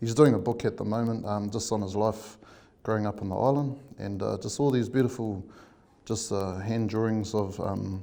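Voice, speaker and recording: At a moderate pace, a man speaks in a dark, mellow tone with fairly low pitch and fairly even intonation, and the room echo is audible. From New Zealand, Bay of Plenty (Kawerau, Tauranga). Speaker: artist. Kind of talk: interview. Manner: many fillers and hesitations.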